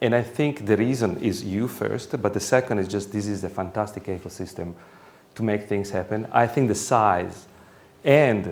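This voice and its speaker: In a room with audible echo, a man with an Italian accent speaks at fairly low pitch and a moderate pace with ordinary pitch variation. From Italy. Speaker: professor. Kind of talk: lecture. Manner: halting.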